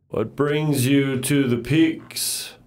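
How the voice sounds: Someone performs a put-on character voice. The intonation stays monotone and flat. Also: man, fairly high pitch for a man.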